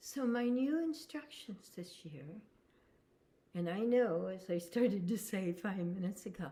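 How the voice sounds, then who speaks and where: A woman's somewhat breathy, dark and mellow voice at medium pitch, fairly slow, with very wide pitch swings. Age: 70s. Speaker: spiritual teacher. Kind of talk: spiritual talk.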